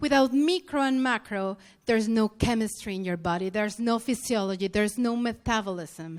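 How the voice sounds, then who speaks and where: Speaking with a non-native accent, a woman at a fairly high pitch keeps a moderate pace and lively intonation. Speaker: health practitioner lecturer. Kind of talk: conference lecture. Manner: halting.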